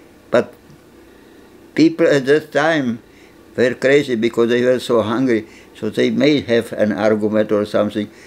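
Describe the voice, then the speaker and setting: Speaking at a moderate pace with a Czech accent, a man shows ordinary pitch variation. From Czechoslovakia. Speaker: Holocaust survivor; interviewee. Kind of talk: interview testimony; interview answer. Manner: halting, with repetitions. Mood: grave, matter-of-fact storytelling. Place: home room.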